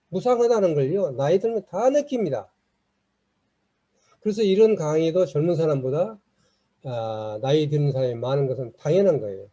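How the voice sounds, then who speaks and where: A man with a fairly high pitch and a dark, mellow tone talks at a moderate pace, his pitch swinging very widely, with long, frequent pauses. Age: 70s. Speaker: lecturer. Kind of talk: lecture.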